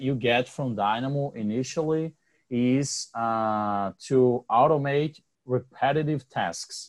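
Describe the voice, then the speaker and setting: This man speaks with a Brazilian accent at a very slow pace. His pitch is medium, with ordinary pitch variation. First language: Portuguese. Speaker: podcast host. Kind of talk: casual interview chat.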